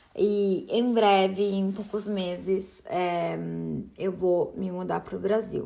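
Through audible room echo, a woman with a slight Italian accent speaks at a very slow pace. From Italy. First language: Italian (speaking Portuguese). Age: 30s. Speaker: podcast host. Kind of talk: solo podcast monologue.

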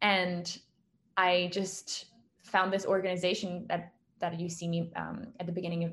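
A woman with a fairly low, somewhat breathy voice speaks at a moderate pace in a monotone, flat intonation. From France. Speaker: documentary filmmaker. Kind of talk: casual interview.

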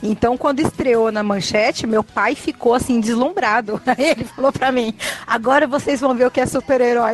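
A woman with a fairly high pitch is heard in a dry, close sound with no echo, along with noticeable background noise. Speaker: podcast co-host. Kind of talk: casual chat.

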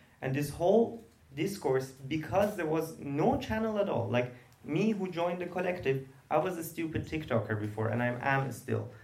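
Over noticeable background noise and audible room echo, a man speaks at a moderate pace with very wide pitch swings. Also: fairly high pitch for a man. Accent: Persian. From Iran, Tehran. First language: Persian. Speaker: queer theater artist and activist. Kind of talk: panel discussion.

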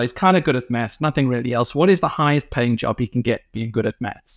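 A man with a South African accent talks at a fairly quick pace and medium pitch, the sound dry and close with no echo against a quiet background. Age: 40s. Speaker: insurance company co-founder. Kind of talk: interview conversation. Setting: remote call.

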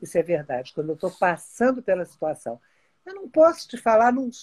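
This woman's voice moves through very wide pitch swings in a dry, close sound with no echo. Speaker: TV personality. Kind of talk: casual chat.

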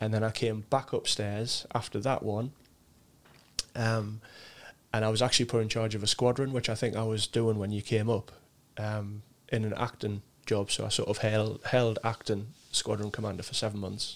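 A man with a Sunderland accent talks at a moderate pace in a fairly low pitch. His intonation is monotone and flat, with long, frequent pauses. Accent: Mackem (Sunderland). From Sunderland, northeast England. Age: 40s. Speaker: RAF serviceman. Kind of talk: casual interview chat.

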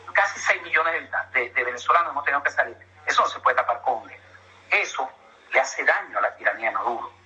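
Amid noticeable background noise, a man speaks very fast but with long, frequent pauses. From Venezuela, Ciudad Bolívar. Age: 60s. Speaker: engineer and Venezuelan emigrant. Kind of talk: interview.

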